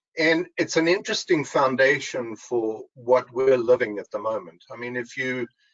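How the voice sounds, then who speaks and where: A man with a South African accent talks at a moderate pace in a medium pitch. His intonation is lively, with hardly any pauses. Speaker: engineer, supply chain strategist. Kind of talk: webinar panel discussion.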